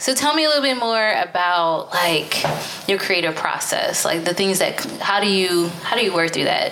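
A woman talks at a fairly slow pace with lively intonation, noticeable background noise behind her. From US Northeast. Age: 30s. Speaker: podcast host. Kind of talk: casual conversational interview. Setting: studio recording at a gallery.

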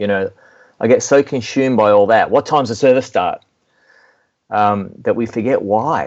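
A man with an Australian accent and lively intonation. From Melbourne, Australia. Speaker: worship music mentor and speaker. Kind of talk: interview, conversational.

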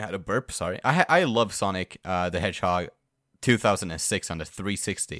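A man speaks in an animated, bright, sharp tone. His pitch is fairly low. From Sweden. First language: Swedish. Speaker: podcast co-host. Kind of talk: casual chat. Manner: animated, profane, jokey.

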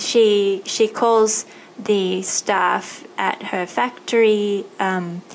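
Fairly even intonation marks this woman's speech, delivered in an Australian accent. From Thailand and Australia. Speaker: podcast host. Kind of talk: interview.

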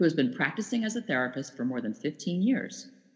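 Somewhat breathy and fairly low in pitch, a woman talks at a fairly quick pace with very wide pitch swings. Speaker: podcast co-host. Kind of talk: casual interview.

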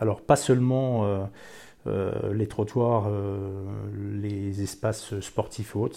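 The man's medium-pitched voice carries a dark, mellow tone and is somewhat breathy. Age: old. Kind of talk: interview testimony. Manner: hesitant, with filler sounds and repetitions.

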